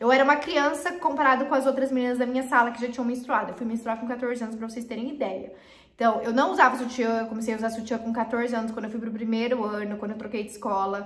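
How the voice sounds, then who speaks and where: A woman talks at a very fast pace in a high pitch, her animated tone running with hardly any pauses through audible room echo. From Paraná, southern Brazil. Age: 20s. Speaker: YouTuber; youtuber. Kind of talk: casual vlog talk to camera. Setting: improvised home recording corner. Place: home room.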